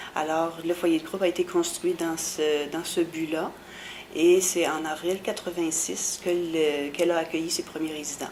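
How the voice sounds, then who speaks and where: A woman at a fairly low pitch and a moderate pace, against noticeable background noise. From Quebec, Bas-Saint-Laurent. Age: 50s. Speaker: special education worker. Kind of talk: oral history interview. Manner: hesitant, many fillers.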